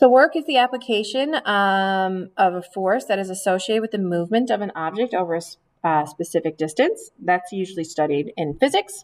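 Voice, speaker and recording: Delivered in an ordinary speaking voice, the speech moves at a fairly quick pace with lively intonation and hardly any pauses. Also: woman, medium pitch for a woman. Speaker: high school chemistry teacher. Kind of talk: recorded lesson. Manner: frequent filler ums.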